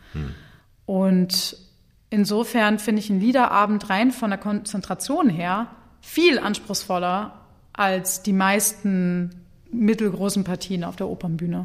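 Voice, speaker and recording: An unremarkable speaking voice from a woman at medium pitch, fairly even in intonation and fairly slow, on a very clean recording with a silent background. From Germany, Hannover. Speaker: opera singer. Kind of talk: interview.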